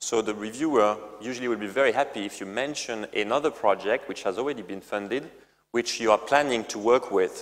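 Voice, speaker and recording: A man with a strong French accent, talking at a fairly quick pace with ordinary pitch variation. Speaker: company CEO. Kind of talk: presentation. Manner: halting, many fillers and repetitions.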